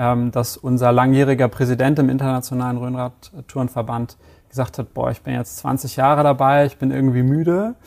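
With an ordinary speaking voice, a man talks at a medium pitch, his intonation fairly even. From Hamburg, northern Germany. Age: 30s. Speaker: e-commerce product manager. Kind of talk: interview.

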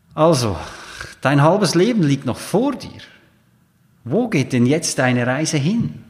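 A man's fairly high voice with very wide pitch swings, broken by long, frequent pauses. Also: fairly slow pace. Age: 40s. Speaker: coach and podcast host. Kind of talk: solo monologue podcast.

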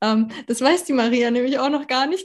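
Her voice is high for a woman, moving at a fairly slow pace with ordinary pitch variation. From Germany, Berlin. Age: 30s. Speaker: women's health consultant. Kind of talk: casual interview.

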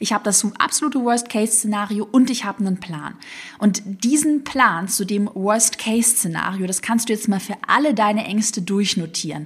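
At a moderate pace, a woman with a slight Swabian accent talks at a fairly high pitch with ordinary pitch variation. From Swabia, southwest Germany. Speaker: online business coach. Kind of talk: motivational solo podcast.

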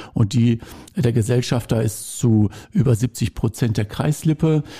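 A man speaks at medium pitch with a dark, mellow tone and a somewhat breathy quality. His pitch variation is ordinary, and the sound is dry and close with no echo. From Lippe, eastern Westphalia, Germany. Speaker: railway association volunteer. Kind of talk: casual interview.

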